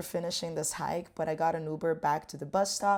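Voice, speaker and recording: A woman speaks with a Portuguese accent. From Brazil. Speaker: travel vlogger. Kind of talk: casual vlog talk to camera. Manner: casual, filler-heavy.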